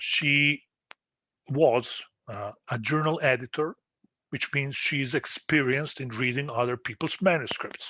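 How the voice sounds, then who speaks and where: A man with a non-native accent, fairly high-pitched for a man, with a bright, sharp tone, ordinary pitch variation and a fairly slow pace. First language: not English. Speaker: postdoctoral researcher. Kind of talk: tutorial. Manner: halting, many fillers.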